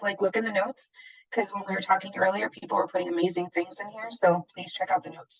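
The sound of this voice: Putting on a character voice, a woman talks very fast at a medium pitch, hoarse and raspy, in a dry, close sound with no echo.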